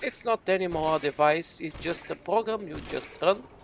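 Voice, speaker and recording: A high-pitched man with a non-native accent at a fairly slow pace, ordinary pitch variation, and noticeable background noise. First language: not English. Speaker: gaming YouTuber and game modder. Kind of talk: casual talk over gameplay.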